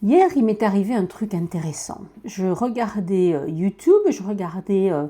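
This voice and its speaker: With a Toulouse accent, a woman speaks at a medium pitch and a fairly slow pace in a dark, mellow tone with ordinary pitch variation. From France, Toulouse. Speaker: podcaster. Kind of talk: casual monologue. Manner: natural speed, hesitant with fillers.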